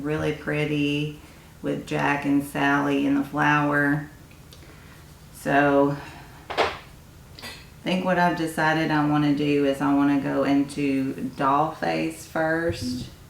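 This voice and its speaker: A woman talks at a very slow pace in a very deep, low pitch with monotone, flat intonation. Room echo is audible, and background noise is noticeable. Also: very even loudness. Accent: Tennessee. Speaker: beauty YouTuber. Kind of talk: casual makeup review.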